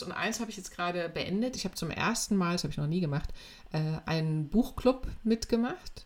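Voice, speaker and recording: Her intonation is lively. This woman keeps to a moderate speed. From eastern Germany (Weimar, Thuringia). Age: 50s. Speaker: life coach. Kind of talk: casual interview. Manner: hesitant, many fillers.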